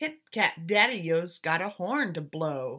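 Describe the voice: In a very clean recording with a silent background, a woman uses a put-on character voice at a slow pace, with lively intonation, a bright, sharp tone and fairly low pitch.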